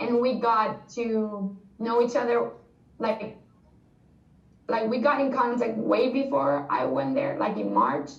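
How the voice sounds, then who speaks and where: At a very slow pace, a woman with a Spanish accent speaks with a fairly high voice over noticeable background noise. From Spain. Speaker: former exchange student. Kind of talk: interview answer. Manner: casual, chatty.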